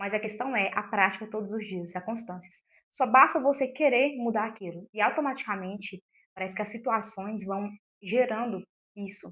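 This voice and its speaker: Her pitch is fairly high, and the woman's voice shows ordinary variation in pitch. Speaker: self-help youtuber. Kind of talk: motivational talk to camera. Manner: fast; occasional stumbles over words.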